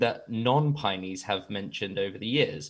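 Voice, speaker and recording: A man speaks with an English accent at medium pitch. His intonation is lively and his pace moderate. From England. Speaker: guest asking listener questions.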